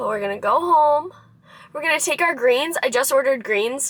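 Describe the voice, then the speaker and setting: A woman with a high voice speaks in a bright, sharp tone with lively intonation. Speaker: lifestyle vlogger. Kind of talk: vlog narration. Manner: casual, filler-heavy.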